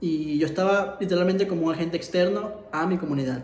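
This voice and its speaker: Noticeable background noise sits behind a man whose high voice moves at a fairly quick pace with fairly even intonation. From Ecuador. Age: 20s. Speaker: illustrator and filmmaker. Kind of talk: personal story told to camera.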